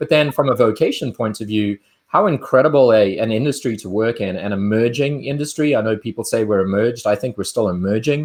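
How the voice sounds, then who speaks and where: A man speaks with a South African accent. His pitch moves in an ordinary way. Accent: South African, smooth. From South Africa, Cape Town. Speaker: winemaker. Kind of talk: interview. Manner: halting, with frequent fillers and repeats.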